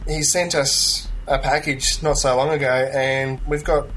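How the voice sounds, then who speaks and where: Noticeable background noise surrounds a man speaking with an Australian accent. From Australia (Melbourne). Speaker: tabletop gamer. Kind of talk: casual chat.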